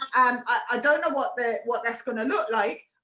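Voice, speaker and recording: A woman talks in a raised, projected voice at a moderate pace. Her intonation is lively. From Ireland, Tipperary. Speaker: artist in residence hosting live talks. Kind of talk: live conversation.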